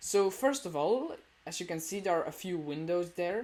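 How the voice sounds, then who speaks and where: A woman's fairly low voice with a non-native accent, at a moderate pace. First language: not English. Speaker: gamer showing a build. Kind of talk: video game tour. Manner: hesitant, many fillers.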